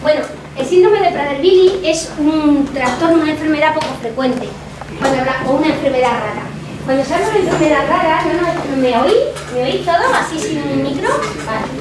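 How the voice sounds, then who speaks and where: Noticeable background noise and audible room echo fill the recording. The talking is fairly quick, with pitch varying in an ordinary way. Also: woman, high pitch for a woman. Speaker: psychologist. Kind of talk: talk to students. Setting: classroom talk without microphone. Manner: fast.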